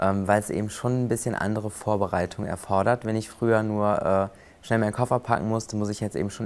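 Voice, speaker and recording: A man talking very fast in a flat monotone. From western Germany, near Cologne. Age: 20s. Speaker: flight attendant and prosthesis user. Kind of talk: interview.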